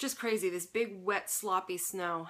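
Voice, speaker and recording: A woman with a bright, sharp tone and medium pitch talks at a moderate pace with ordinary pitch variation. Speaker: knitting podcast host. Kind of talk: casual chat. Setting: home fiber room, sitting on floor. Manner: occasional stutter.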